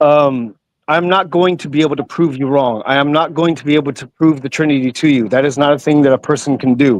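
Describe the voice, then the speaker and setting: At a very fast pace, a man speaks with fairly even intonation and a fairly high pitch. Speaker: caller. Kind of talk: debate.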